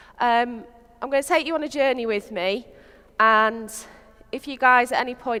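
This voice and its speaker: A woman's fairly high-pitched voice with a strong Lancashire accent and ordinary pitch variation. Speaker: software developer. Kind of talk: conference talk. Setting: stage with audience. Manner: casual, with frequent fillers.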